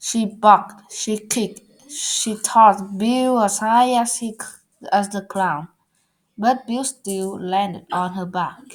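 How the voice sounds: A woman talks at a slow pace with ordinary pitch variation.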